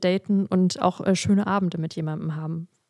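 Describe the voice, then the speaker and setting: A woman with a medium-pitched voice is heard in a dry, close sound with no echo. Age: 20s. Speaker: instagram creator and podcaster. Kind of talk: casual chat. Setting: video call. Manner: animated.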